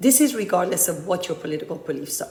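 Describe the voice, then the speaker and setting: A woman speaks with a Persian accent and lively intonation. Her voice carries an audible room echo. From Iran, emigrated to US at twelve. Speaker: political candidate, community activist. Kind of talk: conference speech.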